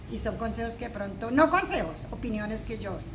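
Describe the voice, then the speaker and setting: A woman with a high pitch at a fairly quick pace, amid audible room echo and noticeable background noise. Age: 60s. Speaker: senior program participant. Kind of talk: personal testimony.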